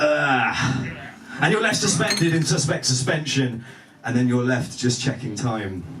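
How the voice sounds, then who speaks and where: Medium-pitched male voice at a moderate pace, with very wide pitch swings, audible room echo and noticeable background noise. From southern England. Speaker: spoken word poet. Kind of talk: spoken word performance.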